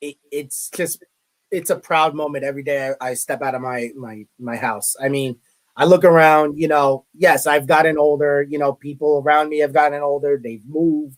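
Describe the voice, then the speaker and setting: A man with a Brooklyn accent and a fairly high pitch, moderate pace, fairly even intonation and big swings in loudness. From New York, Brooklyn. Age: 30s. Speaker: college media relations director. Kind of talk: interview.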